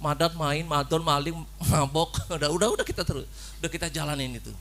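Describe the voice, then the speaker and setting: In a Javanese accent, a man speaks at a very fast pace. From Cilacap, Central Java. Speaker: preacher. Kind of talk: sermon. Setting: church. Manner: animated.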